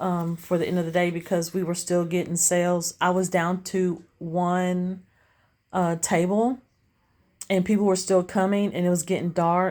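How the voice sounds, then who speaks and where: In a very clean recording with a silent background, a woman with a Southern US accent speaks at a moderate pace and very even loudness. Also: fairly low pitch for a woman. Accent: country accent, Southern US. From Tennessee, US South. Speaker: street vendor, craft seller vlogger. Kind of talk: casual vlog. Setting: outdoors at street stall. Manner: animated.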